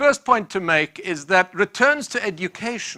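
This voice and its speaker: In a very clean recording with a silent background, a man with a South African accent speaks in a bright, sharp tone, his pitch swinging very widely, the sound dry and close with no echo. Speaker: professor. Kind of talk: lecture.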